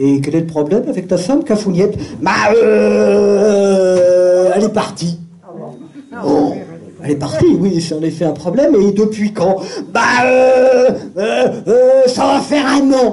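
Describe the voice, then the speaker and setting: Very wide pitch swings mark this very slow delivery, full of long, frequent pauses, against noticeable background noise. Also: man, high pitch for a man. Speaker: storyteller. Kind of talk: live storytelling show.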